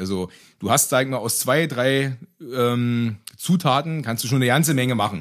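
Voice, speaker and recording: A man talks at a fairly quick pace with ordinary pitch variation on a very clean recording with a silent background. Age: 30s. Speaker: vegan cook and road construction master. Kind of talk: casual interview. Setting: in person.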